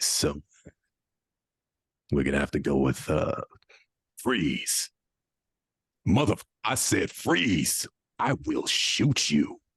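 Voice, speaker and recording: A low, raspy put-on character voice at a very slow pace, with long, frequent pauses. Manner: threatening.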